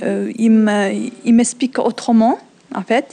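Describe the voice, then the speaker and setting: This woman has a fairly high pitch and a dark, mellow tone. She speaks at a fairly slow pace with a non-native accent. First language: not French (speaking French). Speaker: French learner. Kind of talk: testimony. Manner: halting, many hesitations.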